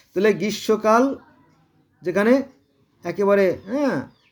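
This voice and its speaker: A man speaks in an animated tone. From Bangladesh, Gopalganj. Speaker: religious commentator. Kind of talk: monologue on religion. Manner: halting.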